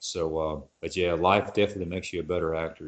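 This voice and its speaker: Speaking at a fairly quick pace, a man with a very deep, low pitch and a strong Texas accent keeps a monotone, flat intonation. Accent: Texas, noted as strong. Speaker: actor. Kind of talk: casual chat.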